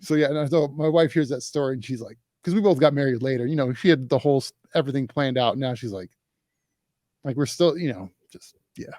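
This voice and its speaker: With an American accent and a dark, mellow tone, a man talks very fast in a fairly high voice, with big swings in loudness and long, frequent pauses. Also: ordinary pitch variation. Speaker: podcast host. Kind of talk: podcast interview, casual conversation.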